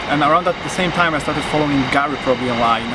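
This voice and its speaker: A man with a Polish accent speaks at a fairly high pitch. Room echo is audible and there is noticeable background noise. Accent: non-native English, Polish. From Poland. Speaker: videographer. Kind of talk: interview. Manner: halting, many fillers.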